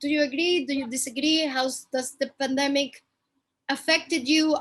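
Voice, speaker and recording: A woman with a strong Spanish accent and a high pitch speaks at a moderate pace. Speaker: fashion content creator. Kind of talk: casual chat.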